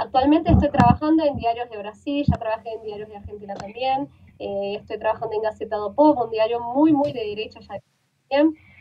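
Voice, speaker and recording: A woman speaks at a fairly quick pace with a fairly high pitch and ordinary pitch variation. Her loudness swings widely, with light background noise behind her. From Brazil. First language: Portuguese (speaking Spanish). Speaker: journalist; journalist guest. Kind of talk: interview. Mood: calm, earnest. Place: home room. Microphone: video call.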